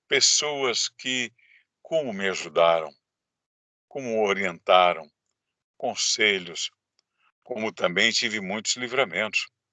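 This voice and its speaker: A man's very slow delivery with lively intonation and long, frequent pauses. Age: 60s. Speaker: government adviser. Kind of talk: interview testimony.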